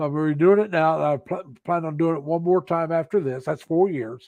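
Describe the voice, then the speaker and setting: Against a quiet background, a man with an ordinary speaking voice talks at a fairly quick pace, with a fairly high pitch and fairly even intonation. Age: 60s. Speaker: security guard. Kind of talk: casual chat.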